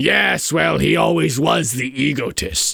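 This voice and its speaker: In a put-on character voice that is hoarse and raspy, a man speaks at a fairly slow pace and fairly low pitch with very wide pitch swings. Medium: virtual streamer. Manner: contemptuous, theatrical.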